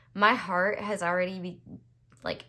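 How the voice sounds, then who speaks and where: A woman speaks at a medium pitch. She has an American accent. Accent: temporary Southern US twang. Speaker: tarot reader. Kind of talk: tarot reading monologue. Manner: hesitant, many fillers.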